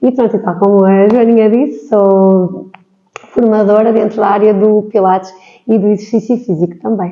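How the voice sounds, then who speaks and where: In a normal speaking voice, a woman talks at a moderate pace and medium pitch, with fairly even intonation and very even loudness. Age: 40s. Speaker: physiotherapist and pilates trainer. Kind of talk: interview podcast.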